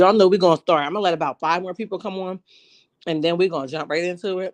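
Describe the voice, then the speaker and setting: Very fast and with big swings in loudness, a woman speaks at a fairly low pitch in a dry, close sound with no echo. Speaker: YouTube commentary livestream host. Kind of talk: casual live chat. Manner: animated.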